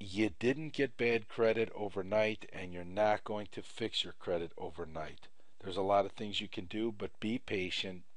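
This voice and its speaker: A man talks at a fairly slow pace and fairly low pitch. His is a plain, everyday voice with ordinary pitch variation. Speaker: credit repair instructor. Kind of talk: tutorial.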